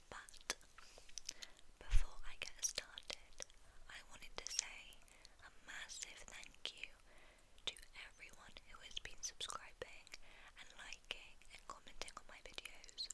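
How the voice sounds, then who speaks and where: A woman whispering in a British accent in a gentle tone, fairly slow, with long, frequent pauses, big swings in loudness and noticeable background noise. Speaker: ASMR creator. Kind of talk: ASMR ramble. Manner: gentle whispering.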